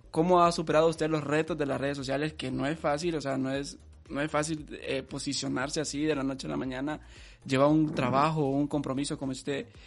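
His intonation monotone and flat, a man speaks fairly quickly at a fairly high pitch. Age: 20s. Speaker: podcast host. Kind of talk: interview.

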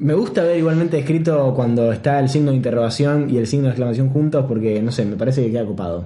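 Very fast, hardly any pauses, ordinary pitch variation, a somewhat breathy voice in a dark, mellow tone. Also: man, medium pitch for a man. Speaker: podcast host. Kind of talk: casual chat.

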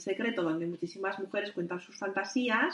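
Noticeable background noise sits behind a woman talking very fast. Her pitch varies in an ordinary way. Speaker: midwife and sexologist. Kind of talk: interview.

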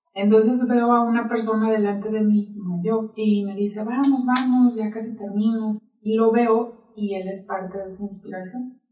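A woman talks at a fairly slow pace with a fairly high pitch and a monotone, flat intonation. Her tone is dark and mellow, and somewhat breathy. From Mexico, Sonora (Nogales). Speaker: marathon runner and health practitioner. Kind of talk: interview conversation. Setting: studio.

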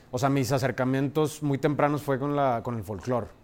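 Speaking fairly quickly, a man uses a medium pitch with ordinary pitch variation. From Mexico, Monterrey. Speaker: jazz drummer. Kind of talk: casual interview chat. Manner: halting, many fillers.

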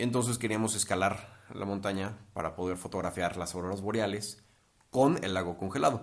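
Fairly low in pitch, this man has an ordinary speaking voice, delivered at a moderate pace with fairly even intonation. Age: 20s. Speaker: wedding photographer and videographer. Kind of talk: podcast interview.

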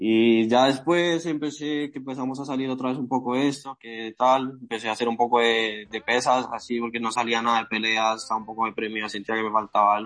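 With a Bogotá accent, a man at a medium pitch talks at a fairly quick pace, with fairly even intonation and hardly any pauses. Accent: Colombian Spanish (Bogotá). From Colombia, Bogotá. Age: 20s. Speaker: amateur MMA fighter. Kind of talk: interview. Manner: halting, repetitive.

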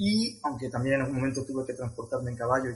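A man with a medium pitch speaks at a very fast pace while noticeable background noise plays behind him. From Spain, Madrid (Leganés). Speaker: travel coordinator. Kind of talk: interview.

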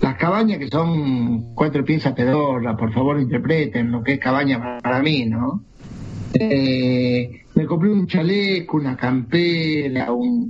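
Speaking at a medium pitch, the man takes a very slow pace. His words come out very slowly. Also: lively intonation. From Jujuy, northern Argentina. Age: 50s. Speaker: traveler. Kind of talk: casual chat.

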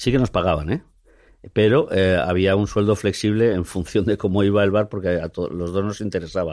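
A man's normal speaking voice, fairly low in pitch with ordinary pitch variation, at a moderate pace against a quiet background. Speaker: theatre director. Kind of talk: interview. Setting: studio.

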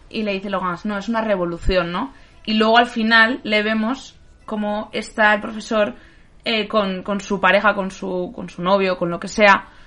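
Loudness swings widely while the pace stays moderate and the intonation fairly even. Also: woman, medium pitch for a woman. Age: 30s. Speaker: film podcast host. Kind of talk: casual chat. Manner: halting.

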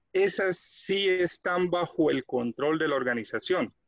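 With lively intonation and a fairly high pitch, a man speaks fairly slowly in an ordinary speaking voice, the sound dry and close with no echo. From Colombia. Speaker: quality management consultant. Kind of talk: tutorial.

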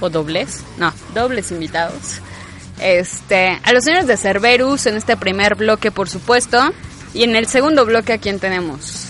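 Noticeable background noise sits behind a woman's voice. She speaks at a medium pitch with lively intonation. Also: fairly slow pace. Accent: Mexican. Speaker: radio host. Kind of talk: radio show hosting. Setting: radio studio.

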